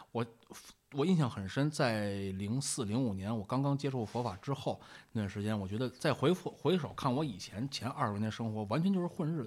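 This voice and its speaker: In a very clean recording with a silent background, a man speaks with a strong Beijing accent. His pitch is medium, his pace fairly quick, and his intonation lively. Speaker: Buddhist monk. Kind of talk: casual chat. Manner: vivid storyteller's delivery; fast Beijing banter.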